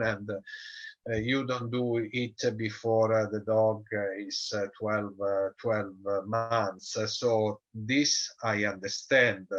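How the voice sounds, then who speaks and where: A man with an Italian accent at a very slow pace, against a quiet background. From Italy. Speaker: dog show judge and breeder. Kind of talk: interview. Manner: halting, many fillers.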